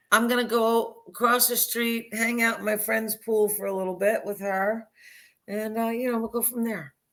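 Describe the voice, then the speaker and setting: Monotone and flat in intonation, a woman speaks at a moderate pace in a fairly high pitch. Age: 60s. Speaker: reality TV contestant. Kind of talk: casual chat.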